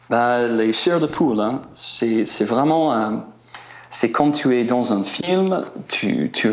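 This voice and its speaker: A man's medium-pitched voice with an American accent, very slow and with lively intonation, over noticeable background noise. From US Midwest (small town Indiana). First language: English (speaking French). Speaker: musician and traveler. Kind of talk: interview. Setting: remote line to radio show. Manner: halting, many hesitations.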